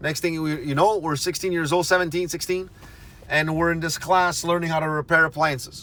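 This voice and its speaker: With a bright, sharp tone, a man at a fairly high pitch talks at a moderate pace with fairly even intonation. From Montreal, Quebec, Canada. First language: Italian, then French. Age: 30s. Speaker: video blogger. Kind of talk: casual monologue, life story. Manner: conversational, with fillers and self-corrections.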